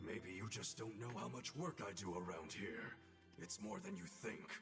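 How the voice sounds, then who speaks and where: Over loud background music, a man puts on a character voice that is fairly low in pitch and moves at a moderate pace. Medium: video game. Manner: blunt, dry.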